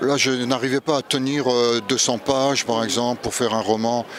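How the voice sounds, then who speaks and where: At a moderate pace and medium pitch, a man with a Luxembourgish accent speaks in a monotone, flat way over noticeable background noise. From Moselle, France (Three Borders area near Luxembourg). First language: Luxembourgish (speaking French). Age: 60s. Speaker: poet and novelist, retired English teacher. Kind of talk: interview. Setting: book festival.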